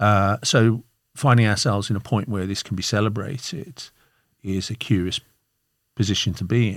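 In a very clean recording with a silent background, a man with a Birmingham accent speaks at a moderate pace. His pitch is fairly low with ordinary variation, and he takes long, frequent pauses. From Birmingham, England. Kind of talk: interview.

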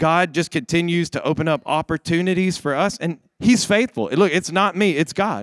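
Dry and close with no echo on a very clean recording with a silent background, the voice moves at a moderate pace in an animated tone with ordinary pitch variation. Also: man. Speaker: pastor. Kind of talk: sermon. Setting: church. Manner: animated, exhorting the congregation to answer back; informal and conversational.

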